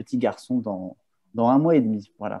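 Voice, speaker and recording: A man talks at a fairly slow pace. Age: 30s. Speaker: communication agency partner. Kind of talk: casual interview.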